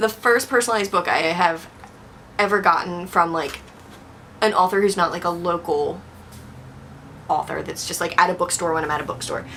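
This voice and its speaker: Speaking at a fairly low pitch and fairly quick pace, a woman uses ordinary pitch variation and takes long, frequent pauses. Background noise is noticeable. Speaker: booktuber. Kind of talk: casual vlog talk.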